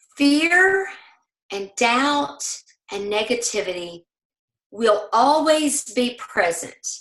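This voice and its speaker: A woman with a Southern US accent speaks in a high voice that makes very wide pitch swings. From US South. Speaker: network marketing leader. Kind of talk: motivational training talk. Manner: animated.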